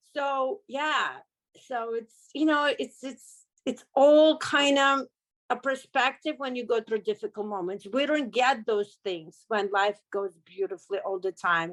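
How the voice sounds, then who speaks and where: A woman with a Russian accent speaks at a fairly slow pace, high-pitched and with lively intonation. The recording is very clean with a silent background, and the sound is dry and close with no echo. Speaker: car accident survivor, business owner. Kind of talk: interview testimony.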